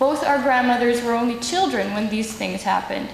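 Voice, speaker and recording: Over noticeable background noise, a woman with a high pitch speaks with ordinary pitch variation. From Netherlands. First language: Dutch. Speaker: human rights advocate. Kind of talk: symposium speech.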